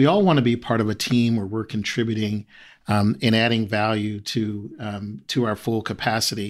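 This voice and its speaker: A man speaks in a plain, everyday voice with a fairly low pitch and ordinary pitch variation. His pace is moderate, and the recording is very clean with a silent background. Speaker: HR diversity executive. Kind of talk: interview.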